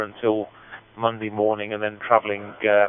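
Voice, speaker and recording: A medium-pitched man with a Midlands accent at a fairly quick pace. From Central United Kingdom. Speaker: amateur radio operator. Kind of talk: radio net check-in. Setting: digital radio link.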